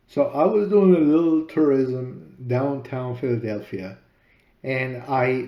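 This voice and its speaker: At a fairly slow pace, a man with a medium pitch talks with a Spanish accent. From Peru. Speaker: author and podcaster. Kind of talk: personal story narration.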